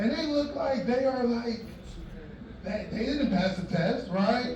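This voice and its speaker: Audible room echo surrounds a man whose extremely high pitch moves with lively intonation. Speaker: stand-up comedian. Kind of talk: stand-up. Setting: stage with audience.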